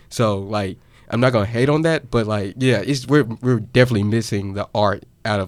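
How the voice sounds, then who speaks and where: A man's plain, everyday voice, fairly low in pitch with ordinary variation, at a moderate pace on a very clean recording with a silent background. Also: big swings in loudness. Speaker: college student podcast host. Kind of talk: casual chat.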